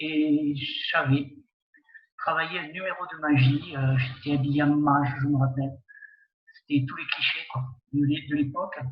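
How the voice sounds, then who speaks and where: There's audible room echo as a man with a fairly high, somewhat breathy voice talks in a monotone, flat way. His pace is fairly slow, broken by long, frequent pauses. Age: 60s. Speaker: community centre director and amateur magician, jury member. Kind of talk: interview. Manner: hesitant, many fillers.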